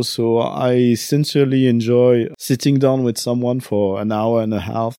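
On a very clean recording with a silent background, a man with a French accent speaks at medium pitch in a dark, mellow tone. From French-speaking country. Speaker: podcaster and game designer. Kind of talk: casual interview. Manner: hesitant, many fillers.

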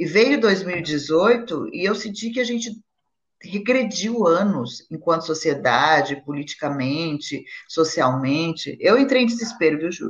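A woman talks at a fairly slow pace while her pitch swings very widely. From Brazil. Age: 50s. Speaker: actress. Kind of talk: casual chat.

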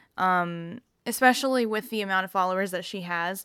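The tone is bright and sharp. It is a very clean recording with a silent background. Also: woman. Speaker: vegan podcaster and YouTuber. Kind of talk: solo casual monologue. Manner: slow, relaxed; filler-heavy, many ums and likes.

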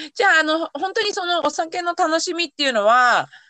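A woman's raised, projected voice with a bright, sharp tone, lively intonation, and moderate pace. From Yamanashi, Japan. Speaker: podcast host and race coach. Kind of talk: casual chat.

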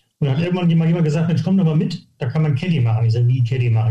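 Fairly high-pitched, somewhat breathy male voice with a dark, mellow tone, ordinary pitch variation and audible room echo. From northern Germany, near Hamburg (Harburg). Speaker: golf coach. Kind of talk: podcast interview. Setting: remote audio recording, no video.

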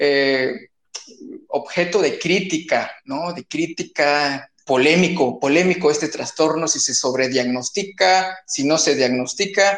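Speaking at a very slow pace, a man uses a fairly high pitch with ordinary pitch variation. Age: younger than the guest. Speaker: podcast host, physician. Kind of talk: interview conversation. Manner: hesitant with fillers.

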